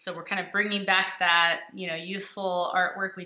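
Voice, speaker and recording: A woman speaks at medium pitch and a moderate pace. Room echo is audible. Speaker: art channel host. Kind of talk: tutorial. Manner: casual, chatty.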